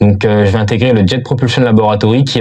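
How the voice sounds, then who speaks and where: With noticeable background noise behind him, a man talks very fast. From Paris suburbs, France. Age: 20s. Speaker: aerospace engineering student. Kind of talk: interview testimony.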